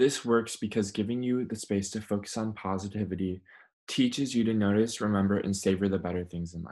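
Against a quiet background, a man talks at a fairly quick pace. His voice has a dark, mellow tone, a fairly low pitch and fairly even intonation. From Minnesota, US (Minneapolis). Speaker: well-being coach. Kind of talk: instructional video presentation. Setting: recording at home.

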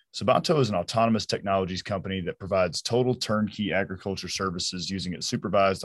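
Fast, with few pauses, fairly even intonation and a slightly husky edge. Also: man.

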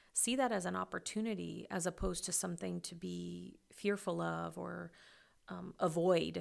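A woman speaks with a Midwestern American accent. The recording is very clean, with a silent background. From rural western Kansas, US. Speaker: education professor. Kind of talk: interview.

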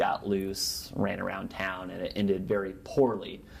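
With an American accent, a man speaks at a moderate pace in a very deep, low pitch, with audible room echo. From Nebraska, US Great Plains. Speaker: journalist and author. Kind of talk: interview.

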